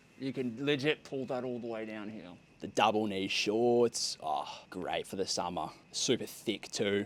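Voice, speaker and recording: Speaking at a fairly slow pace, a man with a medium pitch uses ordinary pitch variation. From Australia. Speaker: content creator, clothing brand founder. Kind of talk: casual vlog. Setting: outdoors. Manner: animated.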